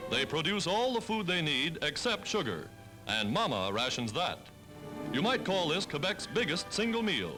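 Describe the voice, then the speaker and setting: A man's high-pitched voice with very wide pitch swings and very even loudness, music in the background. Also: moderate pace. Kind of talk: 1940s newsreel narration. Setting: archival 1940s film recording. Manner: brisk, authoritative.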